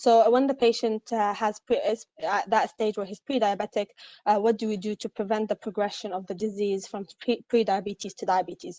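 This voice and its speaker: A woman speaks at a fairly quick pace with a fairly high pitch and fairly even intonation, in a dry, close sound with no echo. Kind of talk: online lecture. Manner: fast; hesitant, many fillers.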